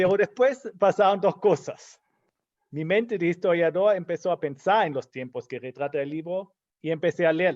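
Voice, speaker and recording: A man's high-pitched voice with ordinary pitch variation at a moderate pace, in a dry, close sound with no echo against a quiet background. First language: German (speaking Spanish). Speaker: historian, book commentator. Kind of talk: book launch talk.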